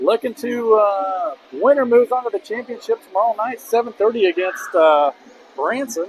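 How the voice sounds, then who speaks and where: Over noticeable background noise, a man talks at a moderate pace with an extremely high pitch and lively intonation, the sound dry and close with no echo. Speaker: high school basketball play-by-play announcer. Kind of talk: live sports commentary. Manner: casual, conversational, some filler words.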